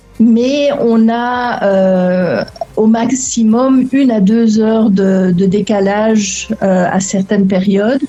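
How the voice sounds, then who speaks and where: A woman with a slight Belgian accent talks at a very slow pace in a fairly high pitch, her loudness very even and her intonation fairly even, over noticeable background noise. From Belgian family abroad, Lebanon-born. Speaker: relocation coach for remote workers. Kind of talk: interview. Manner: hesitant, many fillers and repetitions.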